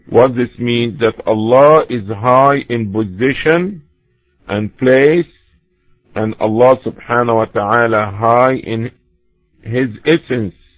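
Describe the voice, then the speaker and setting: With music in the background, a man speaks at a very slow pace, his loudness swinging widely. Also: medium pitch for a man, ordinary pitch variation. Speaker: Islamic lecturer. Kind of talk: religious lecture.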